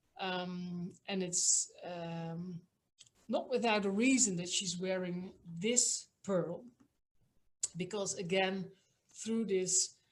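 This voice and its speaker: Somewhat breathy, a woman in a Dutch accent speaks at a very slow pace with fairly even intonation and long, frequent pauses. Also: medium pitch for a woman. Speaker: museum director. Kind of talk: online talk. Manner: hesitant, many fillers.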